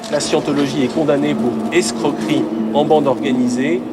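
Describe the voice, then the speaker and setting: Over noticeable background noise, a man with a medium-pitched voice swings very widely in pitch. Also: moderate pace. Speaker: TV reporter. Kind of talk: TV documentary narration.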